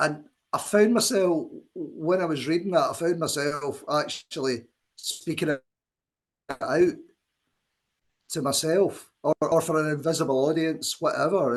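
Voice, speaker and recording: A man with a Scottish accent speaks at a moderate pace in a fairly high voice, his pitch varying in an ordinary way, with long, frequent pauses. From Scotland. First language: Scots. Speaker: poet. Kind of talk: poetry reading event with commentary.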